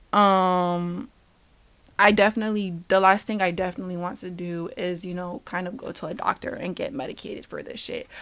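A woman with a plain, everyday voice at a medium pitch, fairly quick in pace, with ordinary pitch variation and big swings in loudness, on a very clean recording with a silent background. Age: 20s. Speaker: podcast host. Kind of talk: casual monologue.

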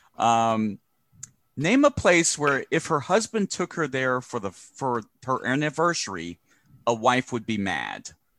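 A man's medium-pitched voice with very wide pitch swings, on a very clean recording with a silent background. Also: fairly slow pace, dry, close sound with no echo. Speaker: podcast host. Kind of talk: casual comedic chat. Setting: home studio. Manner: animated, joking.

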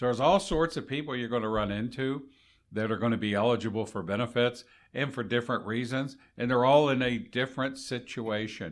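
In a normal speaking voice at medium pitch, a man speaks fairly quickly with ordinary pitch variation on a very clean recording with a silent background. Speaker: retired Social Security manager, co-host. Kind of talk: casual educational podcast chat.

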